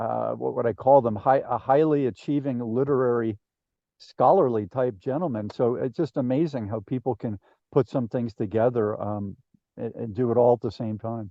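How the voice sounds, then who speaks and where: A man's medium-pitched, ordinary speaking voice with an American accent, at a moderate pace with ordinary pitch variation. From New Jersey. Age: 60s. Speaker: podcast host. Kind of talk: interview conversation.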